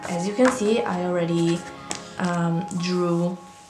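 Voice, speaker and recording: Through audible room echo and noticeable background noise, a woman talks at a medium pitch with ordinary pitch variation. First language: not English. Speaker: bullet journal content creator. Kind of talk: casual craft tutorial. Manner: hesitant, with many fillers.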